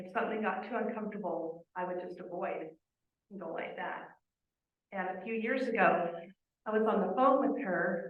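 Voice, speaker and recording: The speaker keeps a moderate pace but takes long, frequent pauses, with big swings in loudness, ordinary pitch variation and audible room echo. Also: woman, medium pitch for a woman. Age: 50s. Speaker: family member giving memorial tribute. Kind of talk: eulogy tribute.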